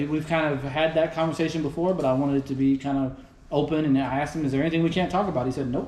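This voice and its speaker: The speaker has a Texas accent and talks at a very fast pace. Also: man. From Houston, Texas. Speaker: podcast host. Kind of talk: casual chat. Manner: animated.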